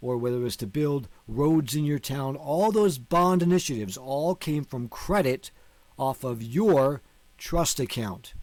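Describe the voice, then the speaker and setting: This man has an unremarkable speaking voice, fairly high in pitch, with an American accent. He talks at a fairly slow pace with lively intonation. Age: 50s. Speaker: online teacher on law and finance. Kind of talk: video lecture.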